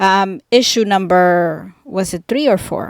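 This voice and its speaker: With a non-native accent, a woman speaks at a medium pitch, and the sound is dry and close with no echo. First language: not English. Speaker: indie author. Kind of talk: casual vlog monologue. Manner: halting, many ums and awkward pauses.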